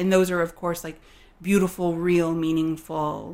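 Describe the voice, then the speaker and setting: Moderate pace and fairly even intonation from a woman with a fairly low pitch and a plain, everyday voice. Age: 30s. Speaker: account manager and writer. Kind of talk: casual interview.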